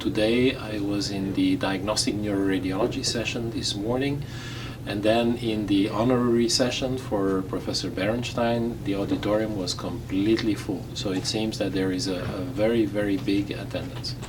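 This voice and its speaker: Against noticeable background noise and audible room echo, a man with a fairly low pitch speaks at a moderate pace with fairly even intonation. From Belgium, Flemish-speaking. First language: Flemish/Dutch. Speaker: radiologist, president of a medical society. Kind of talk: interview. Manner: halting, with many fillers; formal.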